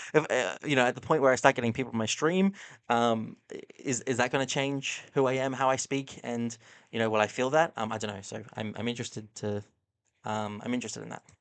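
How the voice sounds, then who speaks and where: Against a quiet background, a man with an Australian accent talks very fast at a medium pitch. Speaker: streamer reacting to videos. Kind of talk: casual live-stream commentary. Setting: live stream. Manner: halting, many fillers.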